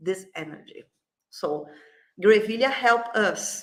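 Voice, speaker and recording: A woman with a Brazilian Portuguese accent, fairly high in pitch, with ordinary pitch variation. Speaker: flower essence company CEO. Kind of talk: interview. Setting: livestream. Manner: halting.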